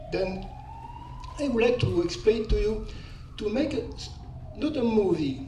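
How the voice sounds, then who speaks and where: A man with a French accent talks at a moderate pace, leaving long, frequent pauses. Audible room echo and noticeable background noise fill the recording. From France. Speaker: audience member. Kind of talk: audience question at conference. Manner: halting.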